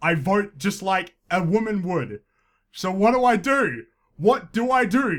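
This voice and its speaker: A loud man with a high pitch, lively intonation and a fairly slow pace. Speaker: podcast host. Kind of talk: comedic commentary podcast. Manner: tends to speak loudly.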